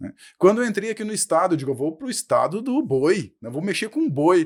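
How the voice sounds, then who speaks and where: Speaking at a fairly quick pace with a southern Brazilian accent, this voice makes very wide pitch swings and big swings in loudness. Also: man, high pitch for a man. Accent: gaúcho. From Brazil, Rio Grande do Sul (western border). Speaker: professor. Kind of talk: podcast interview.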